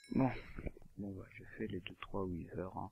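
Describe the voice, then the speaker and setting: A soft-spoken, somewhat breathy man with a very deep, low pitch. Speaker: gaming youtuber. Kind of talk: gameplay commentary. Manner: quiet to avoid noise.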